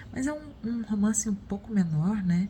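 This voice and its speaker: A soft-spoken woman at medium pitch talks at a moderate pace with ordinary pitch variation. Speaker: book vlogger. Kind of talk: casual vlog. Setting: at home in the morning. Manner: soft-spoken, quiet; hesitant, with fillers.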